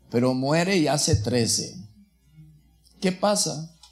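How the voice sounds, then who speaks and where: On a very clean recording with a silent background, a man speaks at a very slow pace with a fairly high, somewhat breathy voice. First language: not Spanish (speaking Spanish). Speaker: rabbi. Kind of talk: sermon. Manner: halting, self-correcting.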